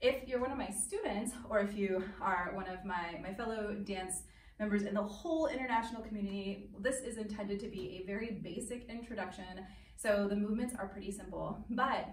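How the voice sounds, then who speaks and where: A woman speaks at a fairly quick pace. Light background noise and audible room echo come through. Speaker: dance teacher. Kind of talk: casual class introduction. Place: hall. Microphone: camera far.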